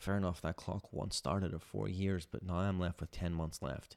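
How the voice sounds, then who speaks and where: The man's pitch is very deep and low, with fairly even intonation at a moderate pace. Behind him the background is silent, and the recording is very clean. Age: 20s. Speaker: podcast host and PhD researcher in nuclear fusion. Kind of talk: personal monologue. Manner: halting, many fillers.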